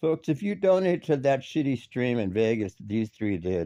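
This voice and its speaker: The sound is dry and close, with no echo. A man in a dark, mellow tone speaks at a moderate pace with very wide pitch swings. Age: 60s. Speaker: commentary streamer. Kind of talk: ranting commentary. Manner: animated; halting.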